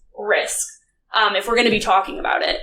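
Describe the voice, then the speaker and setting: A woman with an American accent speaks, and audible room echo surrounds her voice. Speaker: conference speaker, data analytics director. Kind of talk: conference talk. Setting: stage with audience. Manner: casual, filler-heavy.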